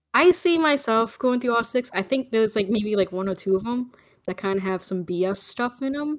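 With lively intonation, the speaker uses an ordinary speaking voice at a moderate pace. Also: woman, fairly high pitch for a woman. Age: 30s. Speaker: podcast co-host. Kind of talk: casual chat.

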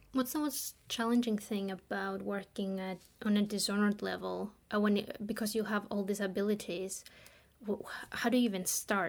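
With an unremarkable speaking voice, a woman talks at a fairly quick pace and medium pitch, keeping her intonation fairly even. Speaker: level designer panelist.

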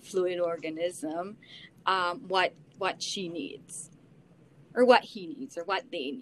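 A woman speaks at a very slow pace. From Belize, Belize City. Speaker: social worker. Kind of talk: casual chat.

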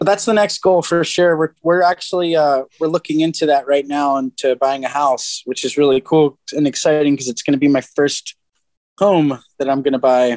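A plain, everyday voice from a man, fairly high in pitch, at a moderate pace with ordinary pitch variation, in a dry, close sound with no echo. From New Jersey (Atlantic City area). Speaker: professional skateboarder. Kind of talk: casual chat.

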